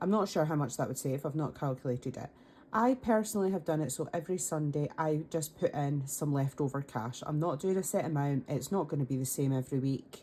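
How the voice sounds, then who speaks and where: A woman with a Scottish accent, a very deep, low pitch and a dark, mellow tone, talking at a fairly quick pace with ordinary pitch variation. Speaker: budgeting content creator. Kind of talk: casual talk to camera.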